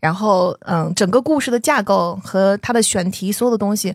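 A medium-pitched woman at a moderate pace, her intonation lively, on a very clean recording with a silent background. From southern China. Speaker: podcast host. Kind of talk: interview conversation.

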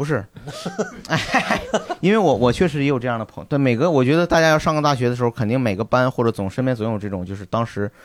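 A man races along at a very fast pace, his intonation lively, while noticeable background noise carries on behind him. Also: medium pitch for a man. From Northeast China. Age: 30s. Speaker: stand-up comedian. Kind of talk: casual chat. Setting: stage with live audience.

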